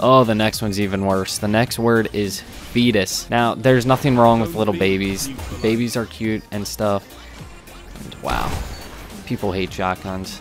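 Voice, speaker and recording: Clear music plays behind a man whose fairly low voice keeps a fairly even intonation, recorded dry with no echo. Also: moderate pace. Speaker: gaming commentator. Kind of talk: live gameplay commentary.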